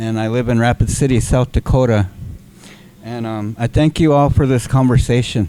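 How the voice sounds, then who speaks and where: This man has an American accent and an unremarkable speaking voice at medium pitch. He keeps a moderate pace with fairly even intonation. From US Great Plains, raised among the Lakota. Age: 60s. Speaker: community organizer. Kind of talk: audience comment in a workshop discussion.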